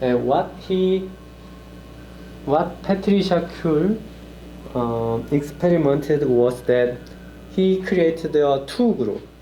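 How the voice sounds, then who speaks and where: Over noticeable background noise and audible room echo, a man with a fairly high pitch speaks at a very slow pace with long, frequent pauses, lively intonation and very even loudness. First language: Korean. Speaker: lecturer. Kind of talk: lecture. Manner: halting, many fillers.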